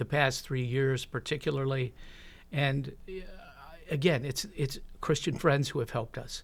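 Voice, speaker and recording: A man with a normal speaking voice talks at a moderate pace and medium pitch, his intonation fairly even, on a very clean recording with a silent background. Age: 60s. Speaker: church member sharing life story. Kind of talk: interview testimony.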